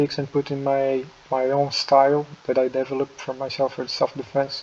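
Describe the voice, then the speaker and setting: With a non-native accent, a man speaks at a fairly quick pace in a fairly high pitch, his intonation monotone and flat, against noticeable background noise. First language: not English. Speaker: martial artist, video creator. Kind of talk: casual tier-list commentary. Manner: halting, many fillers and restarts.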